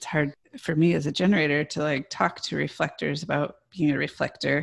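A woman with an American accent speaks at a fairly quick pace in a very deep, low pitch with vocal fry, on a very clean recording with a silent background. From US Midwest. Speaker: podcast co-host. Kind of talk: interview conversation.

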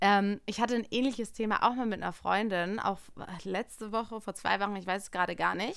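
Very clean recording, silent background, with a woman using an unremarkable speaking voice at medium pitch. Her intonation is fairly even and her pace fairly quick. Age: 30s. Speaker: podcast co-host. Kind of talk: casual chat.

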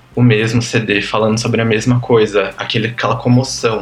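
A man's medium-pitched voice is heard with noticeable background noise behind it. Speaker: podcast guest, pop music fan. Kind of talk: casual chat.

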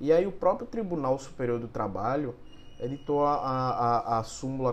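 A man talks with ordinary pitch variation. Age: 30s. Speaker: lawyer. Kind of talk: legal explainer monologue. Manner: halting, many filler hesitations.

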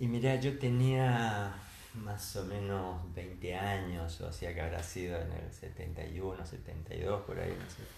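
A man's very deep, low voice, somewhat breathy and very slow, with ordinary pitch variation and audible room echo. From Argentina, Entre Ríos (Concepción del Uruguay). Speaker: retired engineer and university lecturer. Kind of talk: casual interview.

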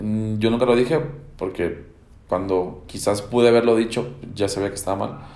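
A man with a fairly low voice speaks at a moderate pace with ordinary pitch variation. Audible room echo surrounds him. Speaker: podcast host and teacher. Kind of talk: solo podcast monologue. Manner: hesitant, many fillers and repetitions.

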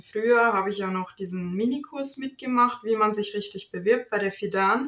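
A woman with a slight Bavarian accent, medium pitch, ordinary pitch variation and a moderate pace. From Germany, North Rhine-Westphalia (Bielefeld-Gütersloh area). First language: Italian (speaking German). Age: 30s. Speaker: virtual assistant. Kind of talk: casual interview.

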